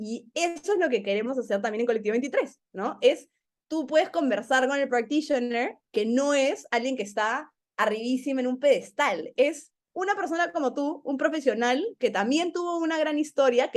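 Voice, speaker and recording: Lively intonation and an animated tone in a woman's high voice, at a moderate pace. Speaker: learning program manager. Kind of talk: casual interview chat.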